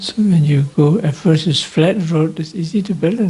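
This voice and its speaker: Moderate pace, with noticeable background noise. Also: man. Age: 60s. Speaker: Buddhist monk and meditation teacher. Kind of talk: dharma talk. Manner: halting.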